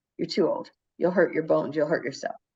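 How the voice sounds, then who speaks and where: With a Chicago accent, a woman speaks in a dark, mellow tone. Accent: Chicago-area American. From US Midwest, Chicago area. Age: 60s. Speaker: teacher living abroad. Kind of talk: casual conversation. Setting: video call. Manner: halting.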